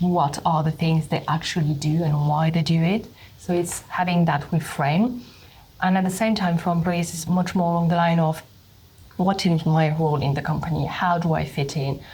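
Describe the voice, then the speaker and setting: A woman in a French accent, somewhat breathy and fairly low-pitched, at a moderate pace with fairly even intonation. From France. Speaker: HR leader. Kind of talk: interview.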